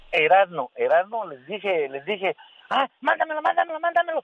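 Pitch swings very widely as the speech proceeds at a moderate pace. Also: man. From Mexico, Hidalgo. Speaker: radio caller. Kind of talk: casual chat.

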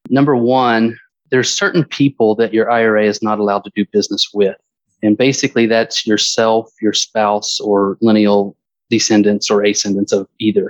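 Recorded with a dry, close sound and no echo, a man talks at medium pitch in an ordinary speaking voice. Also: fairly even intonation, moderate pace. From US South, Georgia (Stone Mountain near Atlanta). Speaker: financial company executive. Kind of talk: interview.

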